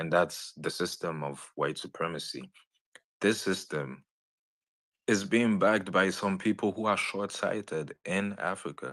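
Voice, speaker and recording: Speaking with a French accent, a man talks fairly slowly at a fairly low pitch with ordinary pitch variation. The background is quiet. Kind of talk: panel discussion.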